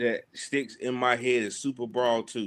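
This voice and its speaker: At a fairly slow pace, the speech comes through on a very clean recording with a silent background. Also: man. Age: 30s. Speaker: pro wrestler. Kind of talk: casual chat.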